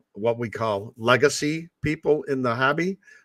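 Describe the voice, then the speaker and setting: Using a normal speaking voice, a man with an American accent talks at a moderate pace with ordinary pitch variation, in a very clean recording with a silent background and a dry, close sound with no echo. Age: 60s. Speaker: ham radio operator. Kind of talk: casual chat. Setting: live stream.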